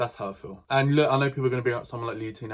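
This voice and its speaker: A man speaks at medium pitch with fairly even intonation. His voice is somewhat breathy. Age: 20s. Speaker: YouTube reaction commentator. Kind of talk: reaction commentary.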